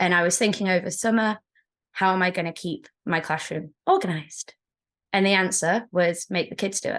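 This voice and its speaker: A woman with an English accent speaks at medium pitch and a moderate pace against a quiet background. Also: fairly even intonation. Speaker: secondary school teacher. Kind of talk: interview.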